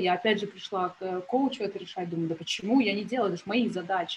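Ordinary pitch variation marks this somewhat breathy voice. The delivery is fairly quick in pace. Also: woman. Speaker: business tracker and marketer. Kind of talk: interview podcast conversation.

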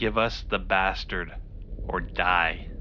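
A man puts on a character voice with a hissing quality over clear background noise. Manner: hissing, menacing.

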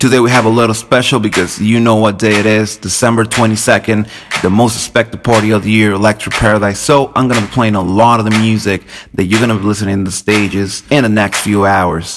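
Music plays behind a man speaking at a very fast pace in an upbeat tone. His fairly low voice stays at a very even loudness. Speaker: radio DJ. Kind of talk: radio DJ patter. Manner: upbeat, friendly, rapid-fire plugs and track intros.

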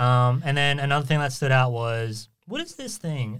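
In a very clean recording with a silent background, a man with a medium-pitched voice speaks with fairly even intonation in an unremarkable speaking voice. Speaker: podcast host. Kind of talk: casual chat. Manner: filler-heavy, self-conscious about ums.

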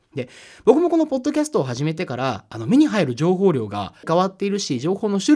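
Very wide swings in pitch from a male speaker. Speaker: podcast host, editor and writer. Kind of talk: solo podcast monologue. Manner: frequent filler hesitations.

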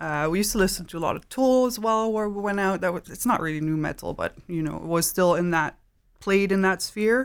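On a very clean recording with a silent background, a woman speaks fairly quickly. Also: medium pitch for a woman, ordinary pitch variation. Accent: Dutch. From southern Netherlands (Maastricht). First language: Dutch. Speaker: tattoo artist and illustrator. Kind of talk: casual interview. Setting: studio.

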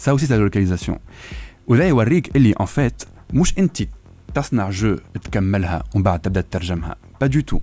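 A man speaks very fast at fairly low pitch, with lively intonation and vocal fry. His tone is dark and mellow, and his loudness stays very even. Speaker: translator and linguist. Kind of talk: radio interview.

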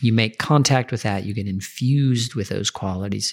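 A man talks in an ordinary speaking voice. His pitch varies in an ordinary way. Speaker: meditation teacher. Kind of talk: guided meditation. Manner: slow, soft, calm and soothing; gentle, unhurried with long pauses.

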